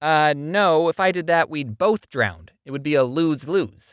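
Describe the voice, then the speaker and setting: In a very clean recording with a silent background, a man does a cartoonish character voice at a fairly high pitch and a moderate pace. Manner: calm, matter-of-fact.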